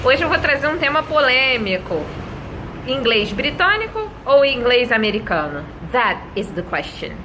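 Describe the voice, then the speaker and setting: A high-pitched woman speaks at a fairly slow pace with very wide pitch swings, amid audible room echo and noticeable background noise. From Brazil, Rio de Janeiro. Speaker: English teacher. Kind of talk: tutorial. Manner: conversational, addresses viewers directly.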